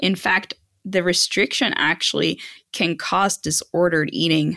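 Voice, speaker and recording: In a very clean recording with a silent background, a woman talks at a moderate pace in a fairly low pitch with ordinary pitch variation. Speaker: dietitian. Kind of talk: interview. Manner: gentle.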